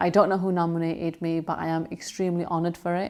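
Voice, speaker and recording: Talking at a fairly quick pace with a West Yorkshire accent, a woman speaks at medium pitch on a very clean recording with a silent background. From northern England, Bradford. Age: 30s. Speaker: TV news reporter. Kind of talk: award nominee video testimony.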